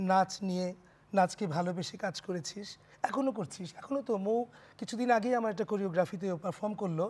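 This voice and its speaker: With ordinary pitch variation, a man talks in a high-pitched voice. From Bangladesh. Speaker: dancer and choreographer; talk show guest. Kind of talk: casual chat. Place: studio. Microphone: lapel.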